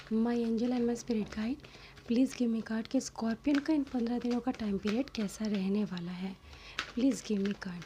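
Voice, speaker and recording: A soft-spoken woman with a fairly high pitch, fairly even intonation and a moderate pace, against noticeable background noise. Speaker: tarot reader. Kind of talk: tarot reading.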